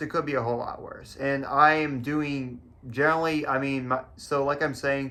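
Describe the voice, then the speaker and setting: A man's fairly high-pitched voice with a bright, sharp tone, fairly even intonation and a moderate pace, with audible room echo. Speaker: vlogger. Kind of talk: personal vlog talk to camera. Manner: halting, stuttering.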